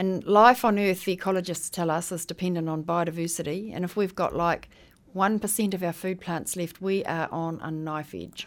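A woman speaks with a New Zealand accent. Her intonation stays fairly even. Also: fairly low pitch for a woman, moderate pace. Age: 60s. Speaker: heritage seed saver and educator. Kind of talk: radio interview.

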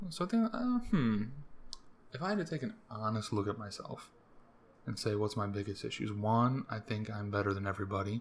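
Somewhat breathy and fairly low in pitch, a man talks at a fairly quick pace with an American accent. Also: ordinary pitch variation. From US, Maryland. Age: 20s. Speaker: podcaster. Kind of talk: casual monologue. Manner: casual, rambling delivery.

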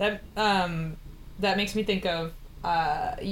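A woman talks in fairly even intonation as noticeable background noise plays around her. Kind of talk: casual chat. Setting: video call.

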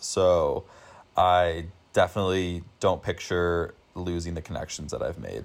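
Speaking at a fairly slow pace with big swings in loudness, a man talks in an American accent. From US, Denver, Colorado. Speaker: university student. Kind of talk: casual interview. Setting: remote recording.

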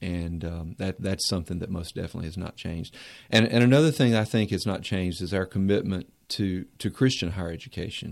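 A man with a Southern US accent speaks very fast, his very deep, low pitch moving with ordinary variation. The recording is very clean, with a silent background. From Mount Airy, North Carolina. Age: 40s. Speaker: university administrator. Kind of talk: radio interview.

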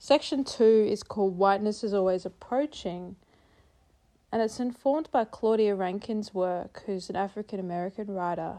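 A woman speaks at a moderate pace with an Australian accent, her medium-pitched voice dark and mellow in tone, with ordinary pitch variation. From South East Queensland, Australia. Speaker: poet. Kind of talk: poetry reading.

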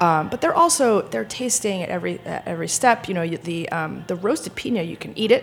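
Very fast speech in an American accent, with big swings in loudness over noticeable background noise. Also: woman. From Rhode Island, US. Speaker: sommelier. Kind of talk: casual chat. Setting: studio.

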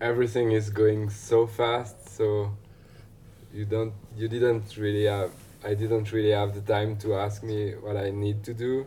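In a French accent, the speaker talks at a fairly slow pace with a somewhat breathy, dark, mellow tone and monotone, flat intonation, with audible room echo. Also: man, fairly low pitch for a man. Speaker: ski filmmaker. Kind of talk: casual interview.

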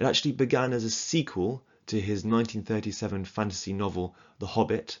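A man with an English accent talks at a fairly quick pace. His pitch varies in an ordinary way. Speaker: podcast host, book reviewer. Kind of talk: solo book review monologue.

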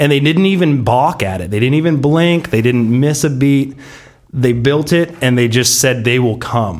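A man with an American accent and an unremarkable speaking voice, lively intonation and a moderate pace. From US West Coast, San Diego. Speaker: football fan, season ticket holder. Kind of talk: casual chat.

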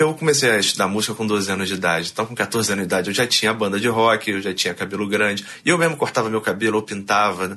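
At a very fast pace with hardly any pauses, a man speaks. His fairly low voice shows ordinary pitch variation. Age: 30s. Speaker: barber and rock musician. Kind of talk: interview. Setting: studio. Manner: animated.

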